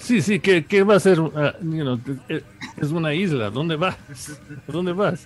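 Noticeable background noise sits under a man's fairly high-pitched voice, which shows ordinary pitch variation. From New York, Ecuadorian family. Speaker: musician. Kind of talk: interview. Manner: halting.

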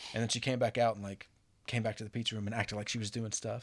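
A man talks at a very fast pace. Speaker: guest, former brewery coworker. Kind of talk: casual chat. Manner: joking, bantering.

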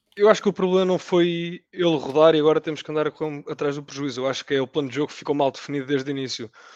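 A man races along at a very fast pace with hardly any pauses, his fairly high voice showing ordinary pitch variation in a dry, close sound with no echo. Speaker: football podcast panelist. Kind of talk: casual chat.

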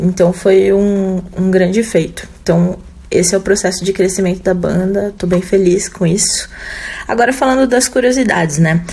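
A woman's medium-pitched voice at a moderate pace, with ordinary pitch variation and very even loudness, over noticeable background noise. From Jundiaí, São Paulo state, Brazil. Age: 30s. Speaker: rock guitarist. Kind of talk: recorded interview answers.

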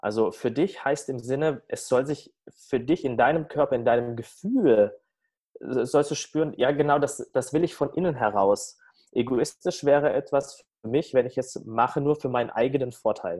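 A man's dark, mellow voice, fairly high in pitch, with ordinary pitch variation. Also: moderate pace. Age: 30s. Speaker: coach and speaker. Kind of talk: interview. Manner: halting, many fillers.

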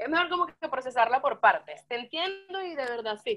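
A woman's voice moves in very wide pitch swings. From Venezuela, Yaracuy (San Felipe). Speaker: rock musician. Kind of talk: casual chat.

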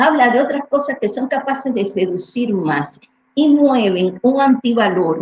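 Fairly slow and fairly high-pitched, a woman talks with very wide pitch swings. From Cuba. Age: 70s. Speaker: neuroscientist. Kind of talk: interview. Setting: livestream.

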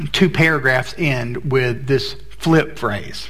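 A man with an American accent at a medium pitch, amid noticeable background noise and audible room echo. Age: 40s. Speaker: pastor. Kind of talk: sermon. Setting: church.

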